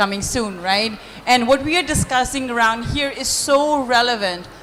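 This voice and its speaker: A woman speaks loudly at a high pitch and moderate pace over noticeable background noise. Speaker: panelist. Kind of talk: panel discussion.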